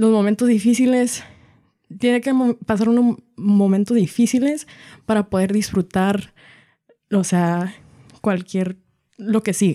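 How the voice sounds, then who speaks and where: Her tone dark and mellow, a woman speaks at a fairly slow pace with ordinary pitch variation and long, frequent pauses. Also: medium pitch for a woman, very even loudness. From Washington State, US, Mexican-American family. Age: 20s. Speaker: mariachi singer and violinist. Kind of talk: interview conversation.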